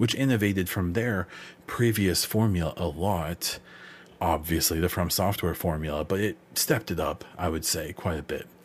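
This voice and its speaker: At a moderate pace, a man speaks with a very deep, low pitch and a somewhat breathy sound. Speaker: podcast host. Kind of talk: casual solo podcast monologue. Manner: informal, hesitant with fillers.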